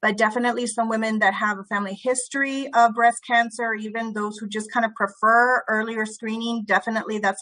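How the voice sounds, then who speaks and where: A woman's fairly high, bright, sharp voice with an American accent and hardly any pauses. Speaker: doctor. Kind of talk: casual chat. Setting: video call.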